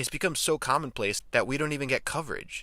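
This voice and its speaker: At a very fast pace, a man speaks with an American accent. His tone is bright and sharp, and the recording is very clean with a silent background. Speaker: sports commentator. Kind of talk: scripted commentary.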